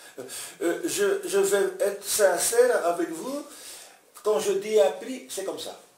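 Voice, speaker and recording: Amid noticeable background noise and audible room echo, a man talks very slowly at a high pitch, with very wide pitch swings, big swings in loudness and long, frequent pauses. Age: 70s. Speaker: classic car restorer. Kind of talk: casual interview. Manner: halting, many hesitations.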